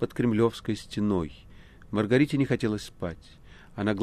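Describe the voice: Just plain reading aloud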